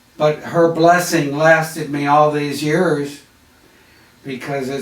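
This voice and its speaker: A man's fairly high, fairly even voice at a fairly slow pace, with audible room echo and noticeable background noise. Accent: American. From US Midwest, Chicago. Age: 80s+. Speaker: artist. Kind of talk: interview. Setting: on camera interview.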